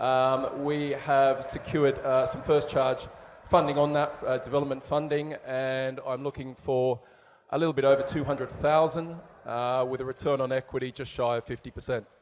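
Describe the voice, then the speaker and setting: In an Australian accent, a man speaks at fairly high pitch and a moderate pace, his intonation monotone and flat. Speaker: property developer. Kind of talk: investment pitch. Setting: stage with audience. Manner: hesitant, many fillers.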